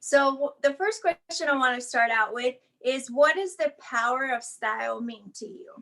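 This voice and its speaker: This voice is projected and raised. It has a bright, sharp tone. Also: woman. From Mexico. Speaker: event host, wheelchair user. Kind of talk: casual interview. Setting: video call from living room. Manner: animated.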